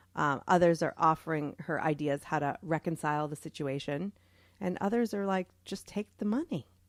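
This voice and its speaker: In a very clean recording with a silent background and a dry, close sound with no echo, an ordinary speaking voice with an American accent moves at a moderate pace with ordinary pitch variation. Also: woman, fairly low pitch for a woman. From US Northeast, Boston. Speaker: podcast co-host. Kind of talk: casual chat.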